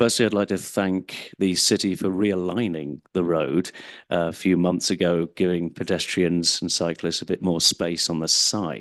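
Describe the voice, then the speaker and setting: With an English accent, the speaker keeps fairly even intonation at a moderate pace over a quiet background. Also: man, very deep, low pitch for a man. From England. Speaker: member of the public giving comment. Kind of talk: public comment at council meeting. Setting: city council meeting, microphone at podium.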